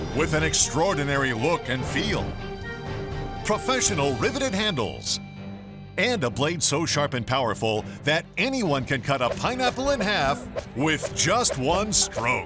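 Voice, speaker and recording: With music in the background, a man talks at a fairly slow pace, keeping his loudness very even. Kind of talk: TV commercial read.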